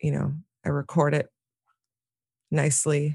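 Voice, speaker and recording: A woman's very deep, low voice, dry and close with no echo, in a very clean recording against a silent background. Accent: American. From New York City, Manhattan. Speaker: singer and visual artist. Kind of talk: casual interview.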